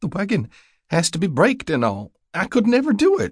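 Putting on a character voice, a man speaks at a moderate pace in a high pitch with very wide swings and a slightly husky edge, on a very clean recording with a silent background.

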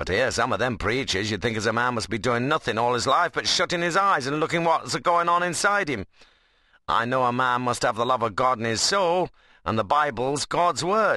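In a put-on character voice with a Midlands accent, the speaker sounds resonant, keeps a moderate pace, and makes very wide pitch swings against a quiet background. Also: man, medium pitch for a man. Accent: rural Midlands dialect. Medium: read story. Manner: firm, forthright.

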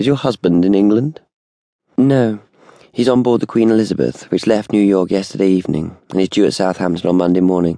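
Spoken at a fairly quick pace with a British accent, the voice keeps a very even loudness and ordinary pitch variation. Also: man, fairly low pitch for a man. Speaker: audiobook narrator. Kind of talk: dramatic audiobook narration, unabridged thriller. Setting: studio. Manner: measured, suspenseful, restrained; shifts between characters, polished, crisp British delivery.

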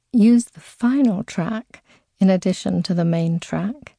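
Against a quiet background, a woman speaks in a soothing, gentle, dark, mellow tone at medium pitch with ordinary pitch variation, somewhat breathy and fairly slow, in a dry, close sound with no echo. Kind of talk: guided meditation. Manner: slow, soothing, gentle; soft, hypnotic, measured pacing.

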